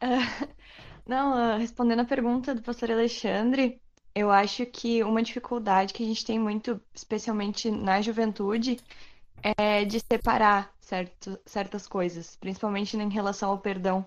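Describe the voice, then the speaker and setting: Fairly slow, monotone, flat delivery from a woman with a fairly high pitch. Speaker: youth group member. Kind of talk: group discussion.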